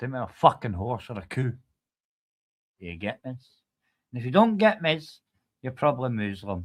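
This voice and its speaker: A man with a Scottish accent, lively intonation and long, frequent pauses, on a very clean recording with a silent background. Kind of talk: casual chat.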